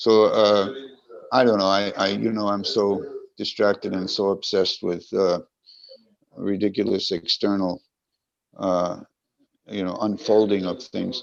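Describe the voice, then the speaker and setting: A man with a fairly low pitch speaks at a fairly slow pace in a flat monotone, leaving long, frequent pauses. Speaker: swami. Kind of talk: online class discussion. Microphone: choppy Wi-Fi connection.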